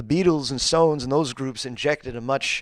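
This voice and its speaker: In a very clean recording with a silent background, a man speaks at medium pitch and a moderate pace, with fairly even intonation and an American accent. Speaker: singer. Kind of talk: interview. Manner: halting, many fillers and repeats.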